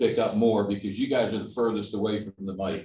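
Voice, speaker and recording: Fairly even intonation marks this man's speech at a medium pitch. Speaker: resident speaking at public meeting. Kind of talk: public comment.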